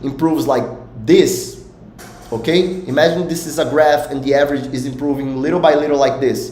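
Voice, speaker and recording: A man in a Portuguese accent talks at a moderate pace, with audible room echo and noticeable background noise. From Brazil. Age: 20s. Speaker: poker coach. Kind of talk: live stream talk. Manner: halting.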